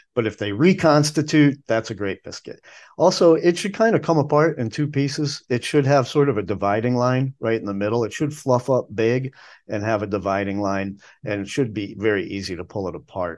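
A man with an American accent speaks at a fairly quick pace and medium pitch. His tone is enthusiastic, with lively intonation. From northern US, Chicago area. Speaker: food tour guide. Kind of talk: casual interview.

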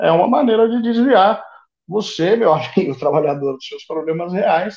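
Lively intonation from a man with a high pitch, at a moderate pace. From Brazil, São Paulo. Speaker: historian. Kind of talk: podcast interview.

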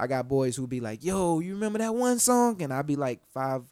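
On a very clean recording with a silent background, a man speaks with an American accent. His tone is dark and mellow, and his intonation is lively. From Florida and Georgia, US South. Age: 20s. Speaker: rapper. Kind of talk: casual interview chat. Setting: studio.

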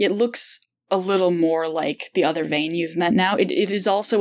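Reading aloud in a natural voice over a quiet background.

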